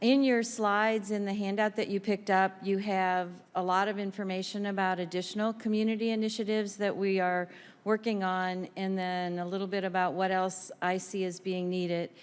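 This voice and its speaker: A woman's medium-pitched voice in an American accent, monotone and flat in intonation, at a fairly quick pace, in a very clean recording with a silent background. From US Midwest, St. Louis, Missouri. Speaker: community trauma program leader. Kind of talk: panel presentation. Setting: congressional briefing room with audience.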